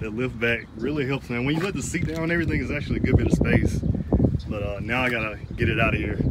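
Loud background noise sits behind a man talking at a very fast pace with ordinary pitch variation. The sound is dry with no echo. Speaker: cyclist vlogger. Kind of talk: casual vlog chat. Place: street. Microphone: phone near.

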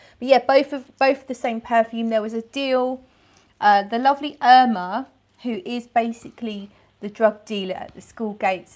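Against a quiet background, a woman speaks at a moderate pace with ordinary pitch variation and big swings in loudness. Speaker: perfume reviewer. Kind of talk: casual vlog chat. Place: home room. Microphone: phone near.

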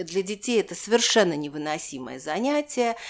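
Very wide pitch swings at a fairly quick pace. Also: woman. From Moscow, Russia. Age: 70s. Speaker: historian. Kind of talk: interview, personal recollection.

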